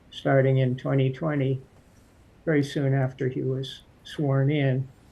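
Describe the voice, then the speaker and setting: A man's medium-pitched, somewhat breathy voice with an American accent and flat, monotone intonation. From Massachusetts, US. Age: 60s. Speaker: political candidate. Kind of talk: interview. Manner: hesitant with frequent fillers.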